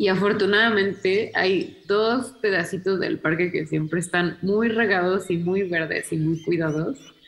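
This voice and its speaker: A woman speaks at a medium pitch with ordinary pitch variation, very even loudness, and hardly any pauses. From Mexico City, Mexico. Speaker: historian. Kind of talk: interview.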